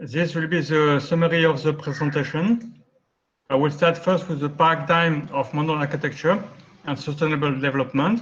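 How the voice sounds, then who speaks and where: With a French accent, a man speaks at a fairly high pitch amid audible room echo. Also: ordinary pitch variation. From France. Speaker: architect. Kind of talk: lecture. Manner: fast.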